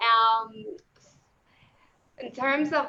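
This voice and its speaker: In a New Jersey accent, a woman speaks with a bright, sharp tone. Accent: New Jersey American. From New Jersey, Puerto Rican family. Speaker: criminology professor. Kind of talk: panel discussion.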